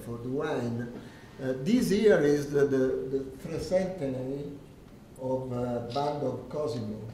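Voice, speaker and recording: With noticeable background noise and audible room echo, a man speaks at a fairly slow pace in an Italian accent, his fairly high pitch carrying lively intonation. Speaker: winery owner. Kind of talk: presentation to audience. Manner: halting, hesitant.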